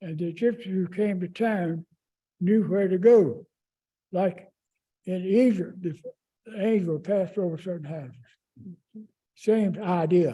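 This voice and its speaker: With a Southern US accent, a man speaks at a fairly slow pace with long, frequent pauses, a high pitch, ordinary pitch variation and a dark, mellow tone. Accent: Southern American. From Raleigh, North Carolina. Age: 80s+. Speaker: longtime neighborhood resident. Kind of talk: oral history interview answer.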